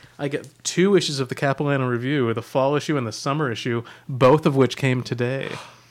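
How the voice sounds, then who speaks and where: With an unremarkable speaking voice, a man talks at a fairly quick pace and a medium pitch. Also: fairly even intonation. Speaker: magazine editor and podcast host. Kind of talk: casual chat. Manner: joking, playful.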